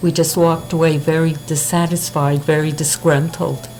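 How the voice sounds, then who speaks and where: Noticeable background noise sits behind a woman speaking at a moderate pace in a very deep, low pitch with monotone, flat intonation. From Montreal, Quebec. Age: 70s. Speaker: interviewee. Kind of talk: street interview.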